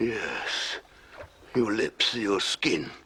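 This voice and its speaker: A man puts on a character voice. It sounds raspy at a medium pitch. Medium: audio drama. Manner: slow, eerie, fragmented.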